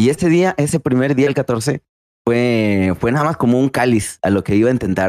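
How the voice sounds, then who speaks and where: A man's dark, mellow tone moves at a fairly slow pace. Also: dry, close sound with no echo. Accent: Mexican. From Mexico, San Luis Potosí (Río Verde). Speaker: streamer. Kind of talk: casual interview. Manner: halting, repeats words.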